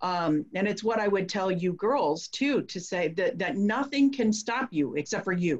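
Somewhat breathy and medium in pitch, a woman's voice moves at a fairly slow pace with lively intonation. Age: 40s. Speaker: podcast host. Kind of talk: casual chat.

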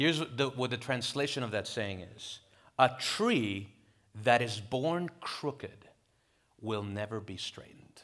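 Speaking slowly with a Spanish accent, a man uses a medium pitch and ordinary pitch variation. His loudness swings widely. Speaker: pastor. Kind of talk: sermon. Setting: church.

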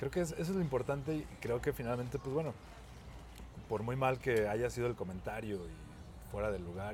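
A man with a Mexican accent, lively intonation and a moderate pace. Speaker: podcast co-host. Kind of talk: casual chat.

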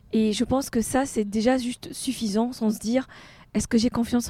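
A woman talks at a fairly quick pace with a fairly high pitch and a dark, mellow tone. Her intonation is monotone and flat, and she sounds somewhat breathy. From Tunisia. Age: 40s. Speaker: art gallery founder, former engineer. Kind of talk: casual interview.

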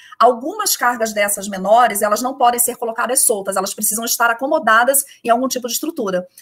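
A woman speaks very fast with a strong Carioca accent, her pitch fairly high and its variation ordinary. Noticeable background noise runs behind her. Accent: Carioca accent, still strong. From Rio de Janeiro, Brazil. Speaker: shipping company executive. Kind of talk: interview.

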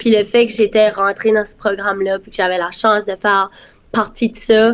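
Speaking in an Acadian accent, a woman uses a fairly high pitch and a monotone, flat intonation at a moderate pace. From Acadia, Dieppe, New Brunswick. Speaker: singer and nursing student. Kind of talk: casual interview.

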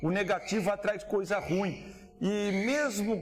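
A man's voice with audible room echo. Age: 50s. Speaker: cattle rancher. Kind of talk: interview. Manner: animated.

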